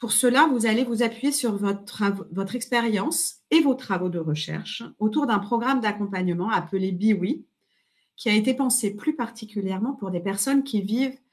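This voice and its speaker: A woman speaks at a moderate pace in a somewhat breathy, fairly high voice. Her pitch varies in an ordinary way over a quiet background. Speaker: webinar moderator, sociologist. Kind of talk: webinar introduction.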